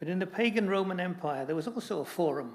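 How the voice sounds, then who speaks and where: A man with a Scottish accent, at a fairly quick pace. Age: 80s+. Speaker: church assembly commissioner. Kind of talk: formal debate speech.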